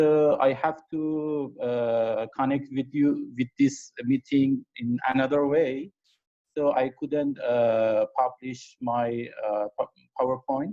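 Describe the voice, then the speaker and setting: In a dry, close recording with no echo, a man with a dark, mellow tone talks at a very slow pace with fairly even intonation. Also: medium pitch for a man. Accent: Iranian. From Iran. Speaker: amateur astronomer, presenter. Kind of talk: conference talk. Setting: video call. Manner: halting.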